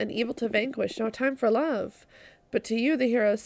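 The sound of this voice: The speaker reads in an unforced voice.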